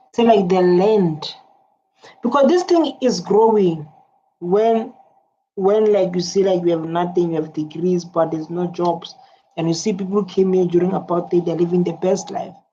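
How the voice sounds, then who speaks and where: Dark, mellow tone with ordinary pitch variation. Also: woman, medium pitch for a woman, moderate pace. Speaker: reaction video host. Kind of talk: casual commentary.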